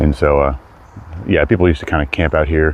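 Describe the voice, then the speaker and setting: A man talks at a fairly quick pace in a very deep, low voice. His intonation stays fairly even over noticeable background noise. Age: 30s. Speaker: hiking livestreamer. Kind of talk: live stream walk chat. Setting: outdoors on a hike. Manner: casual, rambling.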